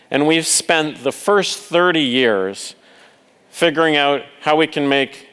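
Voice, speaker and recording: Slow-ish and unhurried, a man with a Canadian accent speaks in a fairly high pitch with ordinary pitch variation, an unremarkable speaking voice at a fairly slow pace. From Canada. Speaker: conference speaker, telecom executive. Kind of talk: conference keynote talk. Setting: stage with audience.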